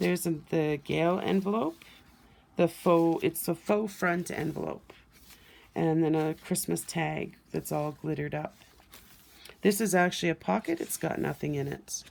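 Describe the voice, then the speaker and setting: This is an unremarkable speaking voice at a moderate pace, with fairly even intonation. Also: woman, fairly low pitch for a woman. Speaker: crafter showing handmade journals. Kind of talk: show-and-tell craft video.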